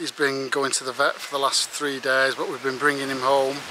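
Fairly quick speech from a man, with a dry sound with no echo and noticeable background noise. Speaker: hiker vlogger. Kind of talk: casual vlog chat. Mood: cheerful, chatty. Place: open country. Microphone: phone near.

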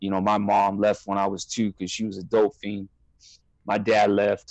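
A man with an American accent speaks at a moderate pace in a fairly low pitch, monotone and flat. The sound is dry with no echo over a quiet background. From Southern California. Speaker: former prisoner. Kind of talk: interview. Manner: halting. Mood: candid, serious. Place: home room. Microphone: earbuds.

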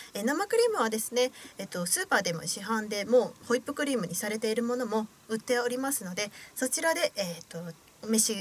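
With lively intonation, a woman races through her words at a very fast pace. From Osaka, Japan. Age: 20s. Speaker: radio host and young actress. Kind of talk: radio show narration. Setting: radio studio. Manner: formal, polite. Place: studio. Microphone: studio mic.

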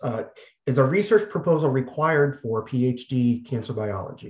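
Against a quiet background with audible room echo, a man speaks in a somewhat breathy voice. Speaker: webinar moderator. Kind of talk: moderated webinar. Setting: video call. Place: home room. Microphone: video call.

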